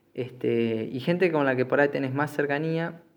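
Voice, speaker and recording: A man with a Rioplatense accent at a fairly slow pace, fairly even intonation and a quiet background. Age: 20s. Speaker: podcast host. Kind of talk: solo monologue podcast. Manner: halting, many fillers and repetitions.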